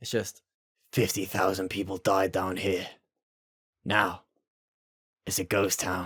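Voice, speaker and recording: A man's put-on character voice, raspy and very deep, with monotone, flat intonation, a fairly slow pace and long, frequent pauses. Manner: grave, gruff.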